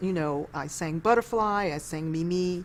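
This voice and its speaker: A woman with a New York accent, lively intonation and a fairly slow pace. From New York City, East Harlem. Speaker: former opera singer. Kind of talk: interview.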